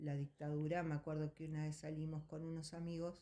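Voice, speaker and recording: A woman's very deep, low voice at a moderate pace. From Argentina. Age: 60s. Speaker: interviewee, eyewitness. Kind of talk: testimony. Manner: hesitant, with fillers.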